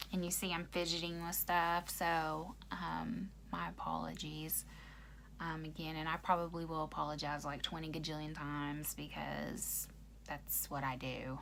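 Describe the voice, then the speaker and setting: In an American accent, a woman speaks at a fairly slow pace, with audible room echo. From Oklahoma. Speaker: YouTuber. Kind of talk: casual chat. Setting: livestream. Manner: halting, many ums and pauses.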